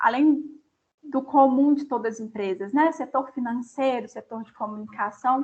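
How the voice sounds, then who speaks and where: A woman speaks with a Minas Gerais accent. Her voice is high, with ordinary pitch variation. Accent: Minas Gerais Brazilian. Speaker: company representative speaking to students. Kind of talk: lecture.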